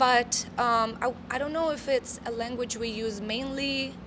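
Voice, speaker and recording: A woman's high voice carries a Russian accent. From Moldova, then Italy as a teenager. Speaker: metal band vocalist. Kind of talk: interview. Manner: halting, many fillers.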